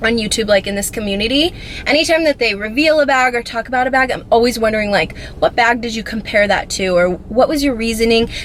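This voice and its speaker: Noticeable background noise fills the clip. The talking is fairly quick. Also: woman. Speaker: beauty and fashion vlogger. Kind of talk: casual chat. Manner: fast.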